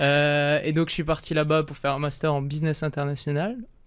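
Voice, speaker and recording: On a very clean recording with a silent background, a man speaks at a fairly quick pace in a monotone with flat intonation. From France, Alsace (Strasbourg). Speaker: vegan chef and content creator. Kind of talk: interview.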